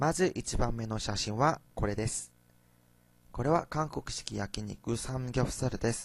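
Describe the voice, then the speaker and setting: The speaker talks at a fairly slow pace with ordinary pitch variation and a Korean accent. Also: man, medium pitch for a man. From South Korea. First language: Korean (speaking Japanese). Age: young. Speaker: university student. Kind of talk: student presentation.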